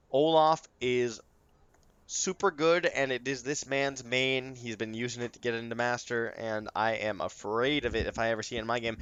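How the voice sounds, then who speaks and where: A man speaks at a medium pitch in an animated tone. His pitch varies in an ordinary way. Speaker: esports caster. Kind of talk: live commentary. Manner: fast.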